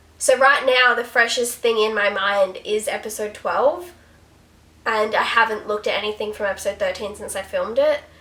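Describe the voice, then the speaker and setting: A fairly high-pitched woman's voice with ordinary pitch variation and noticeable background noise. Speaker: YouTuber reacting to TV episodes. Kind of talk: casual reaction commentary. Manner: fast; animated.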